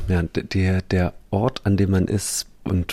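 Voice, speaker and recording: Very deep and low, a man's somewhat breathy voice keeps fairly even intonation in a very clean recording with a silent background. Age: 30s. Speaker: musician. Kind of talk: interview.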